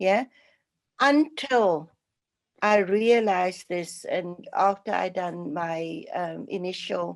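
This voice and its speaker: Lively intonation runs through this clip. The speaker is a woman. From South Africa, Cape Town. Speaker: charity speaker, former nurse and lawyer. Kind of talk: personal testimony talk. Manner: halting, many fillers.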